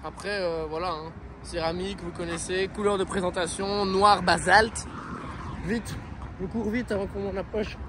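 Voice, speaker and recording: Over noticeable background noise, a man speaks at a high pitch. His pace is fairly quick and his intonation fairly even. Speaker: car vlogger. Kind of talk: casual talk to camera.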